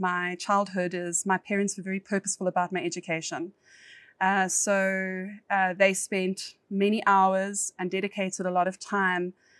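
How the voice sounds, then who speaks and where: A woman with a South African accent, medium in pitch, at a moderate pace with monotone, flat intonation, the sound dry and close with no echo on a very clean recording with a silent background. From South Africa, East Rand (Johannesburg). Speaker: corporate lawyer. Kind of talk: podcast interview.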